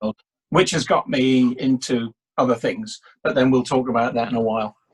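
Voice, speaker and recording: Somewhat breathy, a man with an English accent speaks at a fairly high pitch and a moderate pace, his pitch swinging very widely, in a dry, close sound with no echo. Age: 60s. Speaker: public speaking coach. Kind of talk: casual interview, storytelling. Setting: video call. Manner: halting, repetitive.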